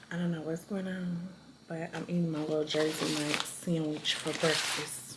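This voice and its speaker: A woman with a fairly low-pitched voice talks in a space with audible room echo, and noticeable background noise is also present. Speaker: vlogger. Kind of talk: casual vlog talk to camera.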